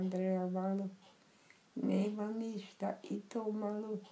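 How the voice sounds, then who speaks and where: A woman speaks very slowly at a medium pitch, her intonation flat and monotone, with noticeable background noise behind her. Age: 80s+. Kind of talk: poetry reading.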